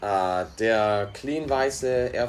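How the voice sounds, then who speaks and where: Noticeable background noise sits behind a man's fairly low voice. He speaks at a very slow pace with lively intonation. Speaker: podcast co-host, restaurant worker. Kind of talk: casual chat.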